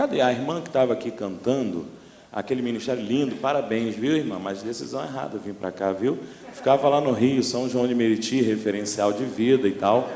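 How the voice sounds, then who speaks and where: In a Rio de Janeiro accent, a man speaks at a medium pitch with ordinary pitch variation and a moderate pace. Noticeable background noise and audible room echo fill the recording. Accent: Rio de Janeiro (carioca). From Brazil, Rio de Janeiro (Baixada Fluminense). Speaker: pastor. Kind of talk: sermon. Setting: church. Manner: animated.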